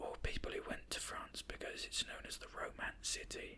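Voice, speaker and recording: Someone whispers with a British accent. Noticeable background noise is present. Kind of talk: ASMR whispered ramble. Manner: whispered; hesitant, rambling.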